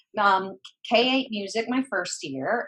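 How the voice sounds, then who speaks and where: A woman is speaking. She has an American accent. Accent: Southern accent, hosts say they hear it. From US South, mountains of North Carolina (Boone). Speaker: former school counselor and educator. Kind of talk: interview. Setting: podcast interview.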